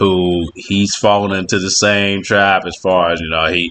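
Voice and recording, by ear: With a fairly bright tone, the voice moves at a fairly slow pace and keeps fairly even intonation. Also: man.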